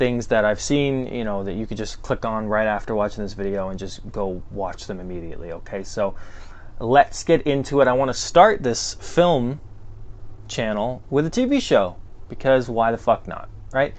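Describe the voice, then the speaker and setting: A man at a medium pitch with ordinary pitch variation and a moderate pace. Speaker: film reviewer, YouTuber. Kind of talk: casual vlog monologue. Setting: home basement. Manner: casual, many fillers and hesitations.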